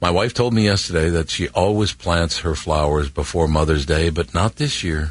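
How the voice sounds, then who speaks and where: This man's voice sits very deep and low, with ordinary pitch variation and a somewhat breathy quality. His loudness stays very even at a moderate pace. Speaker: radio host. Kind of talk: radio interview.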